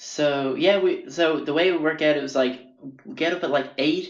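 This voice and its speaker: A man speaks in an Irish accent. Audible room echo surrounds his voice. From Ireland. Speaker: podcast host, artist. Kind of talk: casual storytelling monologue. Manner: rambling, hesitant with fillers.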